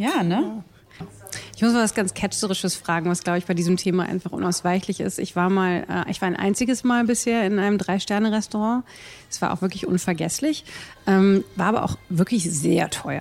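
A woman speaks in a plain, everyday voice at medium pitch. Her pitch varies in an ordinary way. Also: moderate pace. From Rhineland, Germany. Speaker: podcast host. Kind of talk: casual interview. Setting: restaurant.

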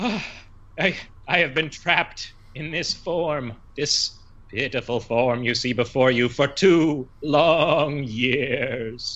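A man's put-on character voice, fairly high in pitch and very slow in pace. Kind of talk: fantasy tabletop character voice. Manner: pompous, grandiose.

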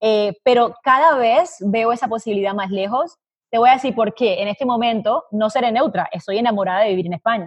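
An ordinary speaking voice at a fairly quick pace. It runs on with hardly any pauses. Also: woman. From Colombia. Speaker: business consultant. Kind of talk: interview.

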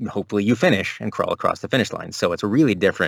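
A man's fairly low voice at a very fast pace. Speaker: audiobook narrator and game developer. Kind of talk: casual interview chat. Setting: remote recording, not in studio booth.

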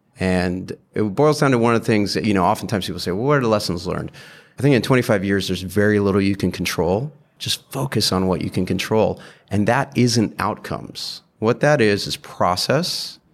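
A man with an American accent speaks at a fairly quick pace in an ordinary speaking voice, pitched fairly low with ordinary pitch variation. The recording is very clean, with a silent background. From UK, Saudi Arabia and US. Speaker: investor. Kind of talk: casual interview.

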